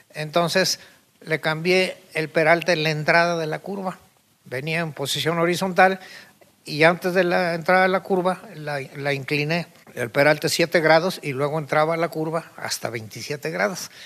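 A man speaks with a fairly high pitch. His tone is bright and sharp, with fairly even intonation. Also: fairly slow pace. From Mexico City. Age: 80s+. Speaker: retired civil engineer and car builder. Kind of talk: interview.

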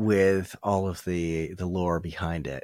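The recording is very clean with a silent background. A man speaks at a very slow pace. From Vermont. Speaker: paranormal podcast host. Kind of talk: casual interview chat.

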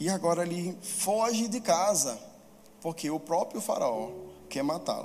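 Music plays in the background as a man with a high voice speaks at a fairly slow pace, with audible room echo. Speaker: preacher. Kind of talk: sermon.

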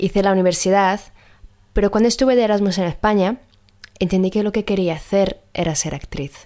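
A dark, mellow tone colors this woman's medium-pitched voice as she moves at a fairly quick pace. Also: ordinary pitch variation. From Sardinia, Italy. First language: Italian (speaking Spanish). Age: 20s. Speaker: singer and actress. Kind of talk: recorded voice message.

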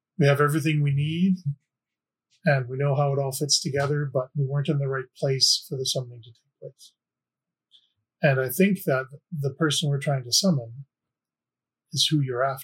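A man's somewhat breathy, fairly high voice at a moderate pace, with fairly even intonation, big swings in loudness and long, frequent pauses. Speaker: player. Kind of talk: tabletop roleplaying podcast.

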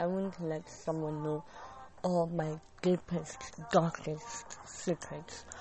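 At a very slow pace, the speech has ordinary pitch variation over noticeable background noise. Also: woman, very deep, low pitch for a woman. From Kenya, Nairobi. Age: 20s. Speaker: podcast host. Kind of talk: casual monologue.

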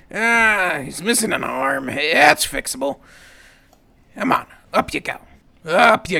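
In a raspy, put-on character voice, a man speaks high in pitch with very wide pitch swings. His pace is fairly slow, broken by long, frequent pauses. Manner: terse, gruff, obsessive.

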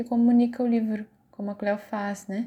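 A woman speaks at a moderate pace in a somewhat breathy voice with a dark, mellow tone. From Brazil, São Paulo interior (Vale do Paraíba). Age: 30s. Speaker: teacher. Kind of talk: course project presentation.

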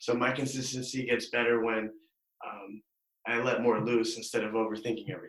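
Speaking with an American accent, the voice moves at a fairly quick pace. Its intonation is monotone and flat. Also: man, medium pitch for a man. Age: 20s. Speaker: stand-up comedian. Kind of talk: casual interview. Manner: nonchalant, laid-back.

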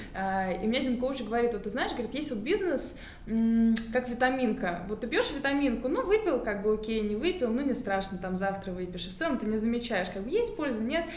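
A woman speaks at a fairly quick pace with lively intonation and a fairly high pitch, and some room echo can be heard. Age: 20s. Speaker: fitness entrepreneur and coach. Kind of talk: casual interview.

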